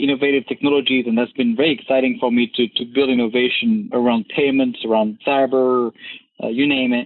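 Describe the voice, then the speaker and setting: A man with a French accent talks at a fairly high pitch with ordinary pitch variation. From France. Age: 30s. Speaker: government software chief. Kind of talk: interview.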